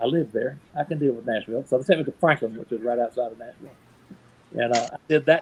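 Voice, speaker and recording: A man talks at a very fast pace in a Southern US accent. His pitch variation is ordinary. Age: 60s. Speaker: professional Santa Claus. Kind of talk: interview storytelling. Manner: casual, folksy with hesitations.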